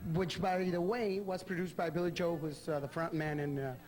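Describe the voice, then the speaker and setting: Amid noticeable background noise and audible room echo, a man with a Spanish accent speaks at a fairly quick pace in a high pitch with fairly even intonation. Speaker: TV interviewer. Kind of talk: interview. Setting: backstage dressing room.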